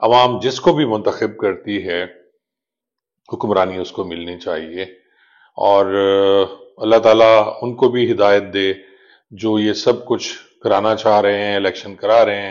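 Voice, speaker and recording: Using a fairly low pitch with ordinary pitch variation, a man speaks with long, frequent pauses. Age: 60s. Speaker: retired police officer turned vlogger. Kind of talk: political commentary vlog. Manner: measured with frequent hesitations.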